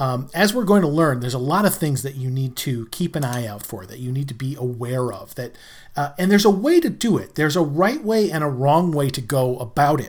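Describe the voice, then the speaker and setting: Somewhat breathy, the man's fairly high voice shows big swings in loudness. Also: lively intonation. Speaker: fill-in podcast host. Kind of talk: solo podcast monologue. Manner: slight stammer, frequent fillers.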